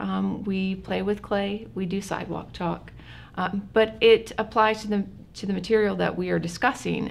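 Moderately paced female speech with a bit of background noise. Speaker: college professor guest. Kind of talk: interview answer. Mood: friendly, laughing at times. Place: meeting room.

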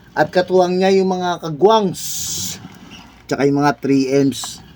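Noticeable background noise sits behind a man's voice. He speaks at a fairly slow pace with ordinary pitch variation. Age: 50s. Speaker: overseas Filipino worker vlogger. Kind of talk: casual vlog while exercising. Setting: bedroom.

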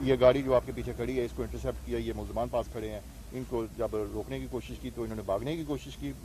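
There is light background noise and a dry, echo-free sound as the man talks. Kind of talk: press statement. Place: street. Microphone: handheld.

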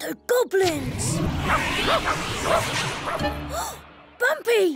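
A cartoonish character voice, very slow, with very wide pitch swings, a fairly bright tone and faint music in the background

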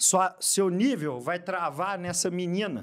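A man with a high pitch speaks over a quiet background. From Minas Gerais, Brazil. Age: 30s. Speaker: lawyer and fitness influencer; lawyer, fitness influencer. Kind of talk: casual interview chat. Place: studio. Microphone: studio mic.

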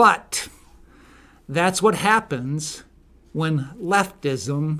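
A man's bright, sharp tone at a very slow pace. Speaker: political commentator. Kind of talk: opinion monologue commentary. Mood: indignant, opinionated. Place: studio. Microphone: studio mic.

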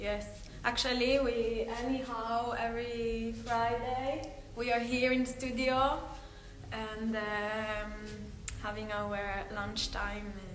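The intonation is fairly even, with audible room echo and light background noise. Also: woman. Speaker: dance teacher. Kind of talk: casual live stream intro. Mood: friendly, cheerful, laughing. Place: hall. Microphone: phone near.

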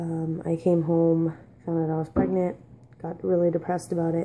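Over light background noise, a woman speaks quietly at a moderate pace, her fairly low voice dark and mellow, her intonation monotone and flat. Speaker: vlogger. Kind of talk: personal storytelling. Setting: at home. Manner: casual, halting. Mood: weary, reflective storytelling. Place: kitchen. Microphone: phone near.

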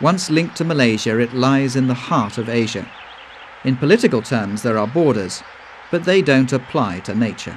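In a calm tone, a man of medium pitch talks at a moderate pace with lively intonation over noticeable background noise. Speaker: documentary narrator. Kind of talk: nature documentary narration, scripted voiceover. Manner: measured, even-paced, formal; calm and informative, with a storytelling tone.

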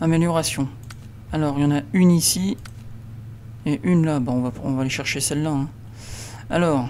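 Long, frequent pauses interrupt delivery that otherwise holds a moderate pace. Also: man, fairly high pitch for a man, ordinary pitch variation. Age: 30s. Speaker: gaming YouTuber. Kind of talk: let's play commentary.

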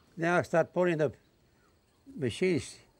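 With an Australian accent, a man speaks fairly slowly in a fairly high pitch. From North Queensland, Australia. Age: 80s+. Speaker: retired cane farmer and backyard inventor. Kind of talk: interview answer. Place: workshop.

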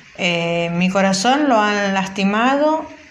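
A woman's medium-pitched speech, with ordinary pitch variation, competes with noticeable background noise. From Buenos Aires, Argentina. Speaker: listener sending audio messages. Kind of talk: recorded voice message.

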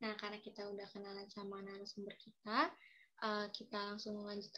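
At a moderate pace, a woman speaks in a somewhat breathy voice. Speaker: student podcast host. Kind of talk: casual student podcast hosting. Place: home room. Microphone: video call.

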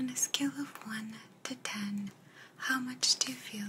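Very slowly, a woman speaks in a whisper. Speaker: video host. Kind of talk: calm direct-to-camera talk. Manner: soft, hushed ASMR voice. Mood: calm, soft, reflective. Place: office.

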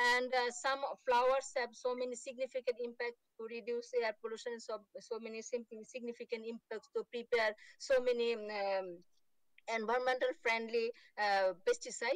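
Against a quiet background, a woman talks at a high pitch with fairly even intonation, the sound dry with no echo. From Bangladesh. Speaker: horticulture researcher; remote conference presenter. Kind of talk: conference presentation. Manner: fast; halting, many fillers. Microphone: video call.

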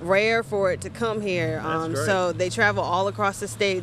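A woman with ordinary pitch variation in a dry sound with no echo, light background noise behind her. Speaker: guest. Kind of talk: interview answer. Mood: friendly, upbeat promo. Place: waterside. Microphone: handheld.

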